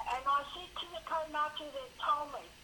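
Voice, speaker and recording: A woman speaks in a raised, projected voice. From Wairoa, New Zealand. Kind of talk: phone call conversation.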